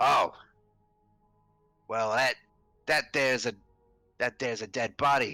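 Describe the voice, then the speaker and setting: A man uses a put-on character voice at medium pitch. He leaves long, frequent pauses as faint music plays in the background. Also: moderate pace. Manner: gruff, gravelly.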